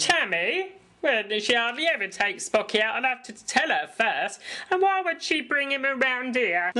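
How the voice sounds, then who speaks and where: A woman puts on a cartoonish character voice at a high pitch. Her pitch swings very widely at a moderate pace. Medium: puppet show. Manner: blunt, coarse.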